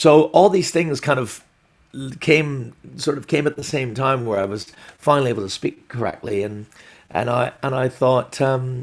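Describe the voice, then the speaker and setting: A man talks with lively intonation. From Glasgow, Scotland, and Canada. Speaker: stand-up comedian. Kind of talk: casual interview.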